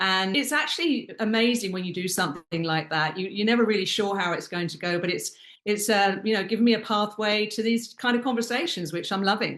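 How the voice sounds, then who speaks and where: A woman speaks at a fairly quick pace with a British accent. Her voice sits at a medium pitch. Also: ordinary pitch variation, hardly any pauses. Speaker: luxury hospitality consultant. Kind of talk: interview.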